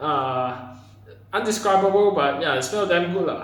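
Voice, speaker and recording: A man with a Malaysian accent, high-pitched and lively in intonation, amid audible room echo and noticeable background noise. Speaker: vlogger. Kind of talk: casual monologue to camera. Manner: hesitant, many fillers and repetitions.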